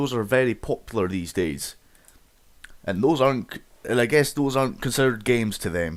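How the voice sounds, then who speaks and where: In a very clean recording with a silent background, a man talks. His pitch is medium and his pace moderate. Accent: Scottish. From Scotland. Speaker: gaming YouTuber. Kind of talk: casual monologue rant. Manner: halting, repeats words.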